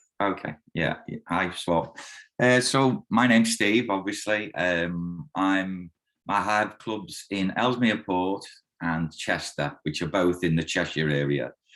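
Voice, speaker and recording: A very deep, low male voice with a slight Liverpool accent and ordinary pitch variation against a quiet background. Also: fairly slow pace. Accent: mild Liverpool (Scouse). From Liverpool, England. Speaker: karate instructor. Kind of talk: interview testimonial.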